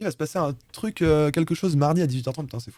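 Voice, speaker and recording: A man with a fairly high pitch and ordinary pitch variation speaks at a very fast pace on a very clean recording with a silent background. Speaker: live streamer presenting programming project. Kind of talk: live-streamed talk presentation. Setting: live stream. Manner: casual, hesitant fillers.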